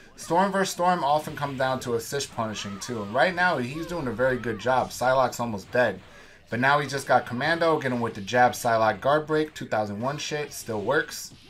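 In an unremarkable speaking voice, a man of medium pitch talks at a moderate pace with an American accent and ordinary pitch variation. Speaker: tournament player and commentator. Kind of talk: sports commentary. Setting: recorded voiceover over match footage. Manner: casual, matter-of-fact play-by-play; profane, laid-back banter.

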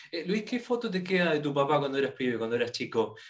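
A very fast-talking man at a fairly high pitch, ordinary pitch variation, quiet background. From Argentina. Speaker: motor show interviewer. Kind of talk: interview. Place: home room. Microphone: video call.

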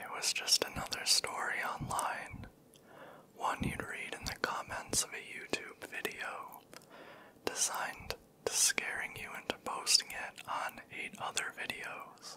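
A man is whispering. His pace is fairly slow. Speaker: storyteller. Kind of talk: scary story narration, soft ASMR reading. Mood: eerie, hushed. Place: home room. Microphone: handheld.

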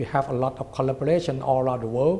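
A man with a Thai accent has a somewhat breathy, dark, mellow tone, a fairly high pitch and fairly even intonation. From Thailand. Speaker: president of a government science agency. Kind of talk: interview. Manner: halting. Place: office. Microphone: lapel.

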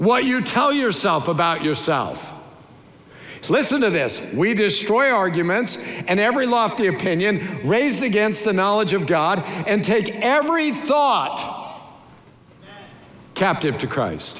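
A man talks at a fairly slow pace with a high pitch and very wide pitch swings. Audible room echo surrounds his voice. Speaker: pastor, preacher. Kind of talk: sermon, preaching to a congregation. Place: church. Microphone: headset.

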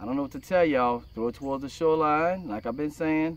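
The sound is dry, with no echo. A man talks at a fairly quick pace. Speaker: fishing vlogger. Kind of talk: casual vlog chat. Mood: relaxed, laughing. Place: boat. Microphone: phone near.

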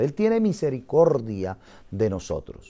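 A man's fairly high voice with a dark, mellow tone at a fairly slow pace. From Colombia. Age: 50s. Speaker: missionary pastor. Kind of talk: interview testimony. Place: church. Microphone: lapel.

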